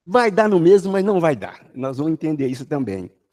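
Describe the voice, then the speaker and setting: A man speaks in a sing-song way. His tone is dark and mellow. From Brazil, Jequitinhonha Valley (Minas Gerais, near Bahia). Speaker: spiritist lecturer. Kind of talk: religious study talk. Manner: sing-song intonation.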